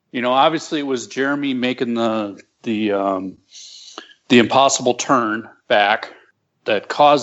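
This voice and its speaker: A man speaks at a moderate pace with a plain, everyday voice, medium pitch and ordinary pitch variation. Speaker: aircraft builder and pilot. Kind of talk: casual chat.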